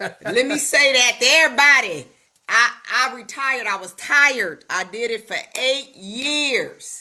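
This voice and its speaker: Projecting a raised voice at a fairly slow pace, a woman speaks in a high pitch with ordinary pitch variation and big swings in loudness. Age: 60s. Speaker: network marketing coach. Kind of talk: casual chat. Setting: video call.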